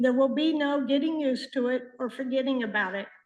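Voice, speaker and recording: In an American accent, a woman speaks at a high pitch with monotone, flat intonation. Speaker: resident giving public comment. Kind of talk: public comment at county board meeting. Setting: public meeting. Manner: shaky when speaking publicly; reading prepared statement.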